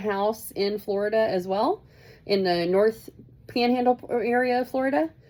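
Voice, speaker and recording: A woman's fairly high voice with an American accent, a fairly slow pace and ordinary pitch variation. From Kansas, US Midwest. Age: 40s. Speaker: student. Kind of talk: self-introduction video. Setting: at home in Florida. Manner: casual, halting with fillers.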